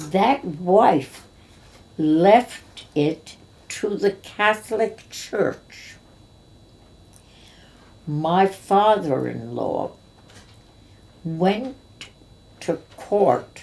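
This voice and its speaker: Vocal fry at a very slow pace, broken by long, frequent pauses. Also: woman, medium pitch for a woman. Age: 80s+. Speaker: cabaret and Broadway actress. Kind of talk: interview answer.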